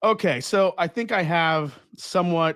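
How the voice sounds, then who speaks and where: With a Long Island accent, a man speaks in an animated tone with lively intonation. The very clean recording has a silent background and a dry, close sound with no echo. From Long Island, New York. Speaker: whiskey livestream host. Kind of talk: casual live tasting chat. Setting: livestream from home whiskey room.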